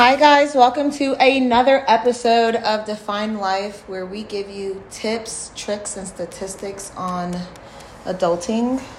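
A woman at medium pitch speaks at a very slow pace with lively intonation, over noticeable background noise. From New York. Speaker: podcast co-host. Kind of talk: casual chat.

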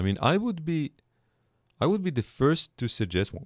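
A man with an Israeli accent, fairly high pitch and very wide pitch swings, in a very clean recording with a silent background and a dry, close sound with no echo. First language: Hebrew. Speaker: political philosophy professor. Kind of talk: podcast interview. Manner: reflective.

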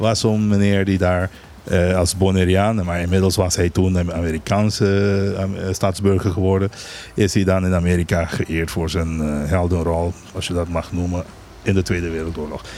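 With a very deep, low pitch, a man speaks in a monotone, flat intonation at a moderate pace. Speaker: island governor. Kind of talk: radio interview.

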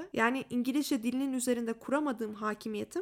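A woman's high voice races at a very fast pace, its pitch varying in an ordinary way. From Turkey. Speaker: podcaster. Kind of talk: personal storytelling monologue.

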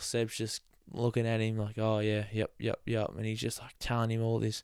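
On a very clean recording with a silent background, a man with an Australian accent speaks at a medium pitch. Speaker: motorsport podcast host. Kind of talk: casual solo commentary.

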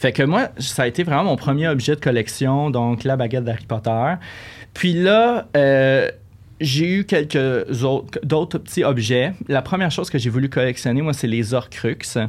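Speaking in a Quebec accent, a man uses a fairly high pitch. He moves at a fairly slow pace with ordinary pitch variation. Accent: Québécois French. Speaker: collector. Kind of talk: casual chat. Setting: studio.

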